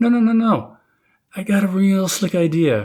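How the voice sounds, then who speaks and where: This man uses a cartoonish character voice pitched high. He talks at a moderate pace. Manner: frantic.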